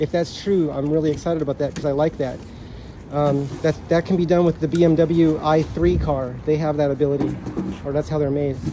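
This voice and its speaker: A man speaks with fairly even intonation at a fairly high pitch, with noticeable background noise behind him. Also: fairly quick pace. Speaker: scooter reviewer. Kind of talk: unboxing video. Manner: fast.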